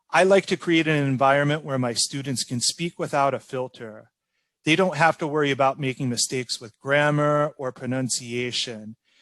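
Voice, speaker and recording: Using an ordinary speaking voice with a General American accent, a man speaks at a moderate pace and fairly high pitch, with ordinary pitch variation and a dry, close sound with no echo. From Orlando, Florida, United States. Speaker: ESL teacher. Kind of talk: interview answer.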